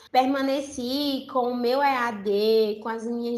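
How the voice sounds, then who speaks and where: Audible room echo surrounds a woman whose voice is fairly high in pitch, with fairly even intonation. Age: 20s. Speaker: university student. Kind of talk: interview.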